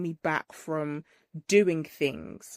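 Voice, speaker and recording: A woman talks with a British accent in a very clean recording with a silent background. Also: dry, close sound with no echo. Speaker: trichologist and hair care business owner. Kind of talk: interview testimony. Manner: loud.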